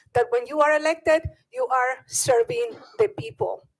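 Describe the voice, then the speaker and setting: A woman with a Bolivian accent, high-pitched, with very wide pitch swings at a moderate pace. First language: Spanish. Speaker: public commenter, parent. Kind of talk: public comment at board meeting. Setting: public board meeting.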